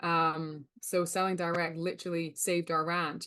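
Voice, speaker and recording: A woman with a Scottish accent, a fairly low pitch and a fairly slow pace against a quiet background. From Scotland. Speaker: rancher and sales coach. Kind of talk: webinar presentation.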